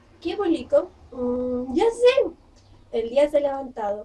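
High-pitched, a woman speaks at a very slow pace. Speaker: vlogger. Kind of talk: casual vlog chat, reading a post aloud. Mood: playful, smiling. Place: home room.

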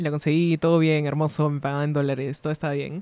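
A woman with a very deep, low pitch talks at a very fast pace in a dry recording with no echo. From Peru. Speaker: illustrator; podcast guest. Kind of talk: casual chat. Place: studio. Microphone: studio mic.

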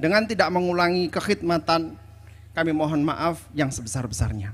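Fairly high male speech with normal rises and falls in pitch. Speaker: Islamic school foundation head; preacher, speaker. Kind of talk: welcoming speech. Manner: formal. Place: stage. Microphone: handheld.

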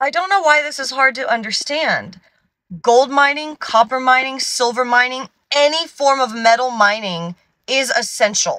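A woman's raised, projected voice, bright and sharp in tone, at a moderate pace with ordinary pitch variation, dry with no echo over a quiet background. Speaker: science content creator. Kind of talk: casual vlog chat. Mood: exasperated, passionate. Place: car. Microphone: phone near.

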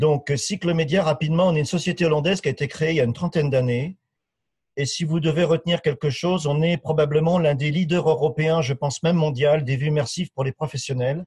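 Against a quiet background, a man speaks very fast with fairly even intonation. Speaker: sales development manager. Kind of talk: webinar presentation. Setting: online webinar.

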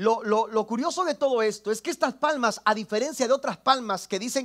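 Against a quiet background, a man speaks in an extremely high voice with ordinary pitch variation. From Mexico, Tampico area; Mexico. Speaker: pastor. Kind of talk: sermon. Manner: halting, repeats words. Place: church.

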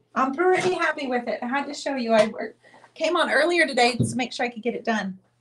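The voice has a warm tone and races along at a very fast pace against noticeable background noise. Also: woman, high pitch for a woman, lively intonation. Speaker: painting artist and channel host. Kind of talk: live-stream painting show with giveaway. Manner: chatty, warm. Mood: cheerful, festive. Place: studio.

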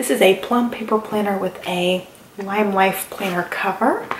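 Room echo and light background noise surround a woman's voice. She speaks at a moderate pace with ordinary pitch variation. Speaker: planner vlogger. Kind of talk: casual vlog chat.

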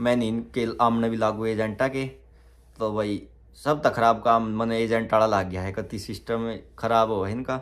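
A man talks at a fairly slow pace. His intonation is monotone and flat. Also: medium pitch for a man. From Haryana, Panipat; Haryana. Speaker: vlogger. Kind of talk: Q&A vlog. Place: home room. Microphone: phone near.

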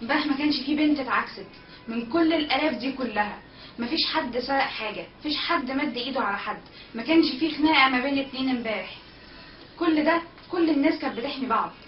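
Ordinary pitch variation with an Egyptian accent, plus audible room echo and light background noise. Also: woman. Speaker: protest organizer. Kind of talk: eyewitness account. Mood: earnest, proud, emotional. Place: home room. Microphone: webcam.

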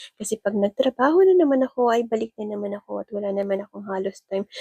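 A woman with a medium-pitched voice talks very fast, the sound dry and close with no echo. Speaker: vlogger. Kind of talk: casual vlog narration. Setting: indoor playground.

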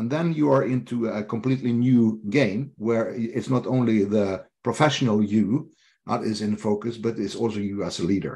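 With a Norwegian accent, the voice has a dark, mellow tone and hardly any pauses. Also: man, ordinary pitch variation, moderate pace. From Norway. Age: 50s. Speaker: leadership coach. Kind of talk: interview. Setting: video call. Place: home room. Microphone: video call.

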